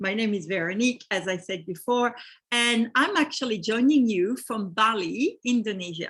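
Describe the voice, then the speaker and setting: Over a quiet background, the speaker talks at a moderate pace with lively intonation and a French accent. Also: woman. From France. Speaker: real estate investment company host. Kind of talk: webinar presentation.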